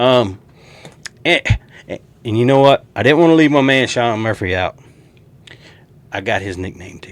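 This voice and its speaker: A man in a Southern US accent talks at a moderate pace with lively intonation, leaving long, frequent pauses. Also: medium pitch for a man, big swings in loudness. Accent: country Southern. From US South. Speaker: sports YouTuber. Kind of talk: casual sports predictions monologue. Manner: animated.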